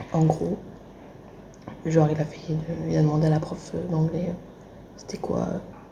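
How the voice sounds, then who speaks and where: A woman speaks quietly at a fairly slow pace in a very deep, low pitch, her intonation monotone and flat, with long, frequent pauses and noticeable background noise. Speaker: vlogger, audiovisual student. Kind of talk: casual vlog.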